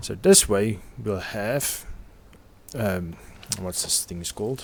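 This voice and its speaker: Here a man speaks with a non-native accent at a fairly low pitch. His pace is very slow. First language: not English. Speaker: video game commentator. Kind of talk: gameplay commentary.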